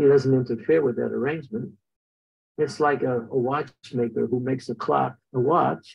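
A man at a moderate pace, with vocal fry and a husky, rough edge.

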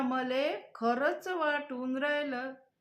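A woman speaks with a high pitch. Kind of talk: poetry reading.

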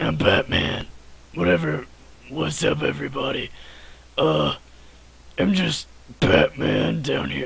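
A man's put-on character voice, very deep and low, with long, frequent pauses over light background noise. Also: fairly slow pace. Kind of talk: comic impression.

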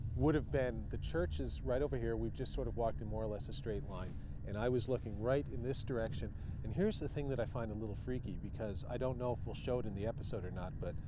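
Amid noticeable background noise, a man talks at a very fast pace, the sound dry with no echo. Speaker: paranormal show host. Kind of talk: on-location recounting to camera. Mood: earnest, slightly unnerved. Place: open country. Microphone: lapel.

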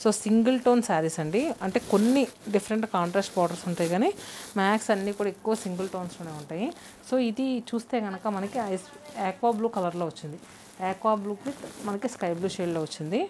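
A woman of medium pitch talks fast with few pauses, her tone slightly mellow and her pitch variation ordinary.

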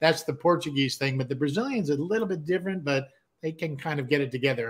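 This man has an American accent and a somewhat breathy voice. He talks at a very fast pace. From Southern California (San Diego); Southern California. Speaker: musician and producer, co-host; talk show co-host. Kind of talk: casual chat. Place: home room. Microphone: video call.

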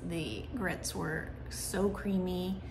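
Background music can be heard. Over it, a woman talks. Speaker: food reviewer. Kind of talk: casual vlog chat. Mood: relaxed, evaluative. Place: home room. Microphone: phone near.

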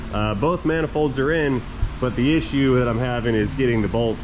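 The pace is fairly quick. Noticeable background noise runs under the speech. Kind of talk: tutorial. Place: garage. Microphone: phone near.

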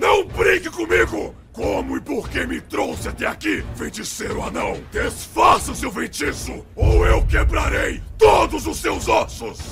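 Shouting in a put-on character voice that is raspy, a man speaks at a fairly slow pace with hardly any pauses over clear background noise. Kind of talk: anime dubbing. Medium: cartoon. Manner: curt, stern, menacing, formal.

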